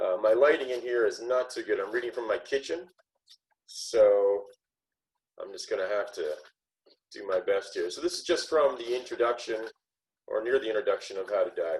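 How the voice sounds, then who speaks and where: A man's voice with big swings in loudness and long, frequent pauses. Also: moderate pace. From southwestern Ontario, Canada. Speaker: author. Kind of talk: casual chat. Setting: video call from his kitchen.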